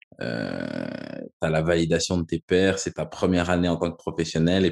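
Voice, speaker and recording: A man speaks at a moderate pace with a very deep, low pitch. His intonation stays fairly even. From Quebec. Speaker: podcast host, former academy footballer. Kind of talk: casual interview.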